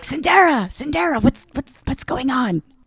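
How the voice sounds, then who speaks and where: In a put-on character voice, the speaker whispers quietly at a moderate pace. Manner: whispering, urgent.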